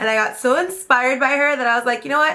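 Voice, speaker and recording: A woman with a high pitch speaks in a raised, projected voice. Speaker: beauty vlogger. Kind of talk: tutorial. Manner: casual, chatty.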